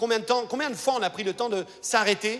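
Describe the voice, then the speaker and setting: An animated tone at a fairly quick pace, with ordinary pitch variation. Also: man. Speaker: pastor. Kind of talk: sermon.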